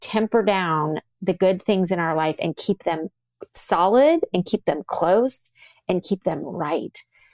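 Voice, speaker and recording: A woman at a very slow pace with lively intonation, on a very clean recording with a silent background and a dry, close sound with no echo. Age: 40s. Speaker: physician and author. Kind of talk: interview conversation.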